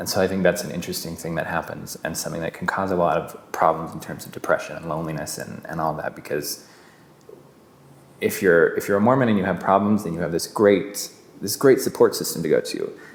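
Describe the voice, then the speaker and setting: The speech has an American accent and ordinary pitch variation. The pace is very fast. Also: man, very deep, low pitch for a man. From Utah. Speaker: actor. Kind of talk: interview testimony. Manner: hesitant with fillers and repetitions.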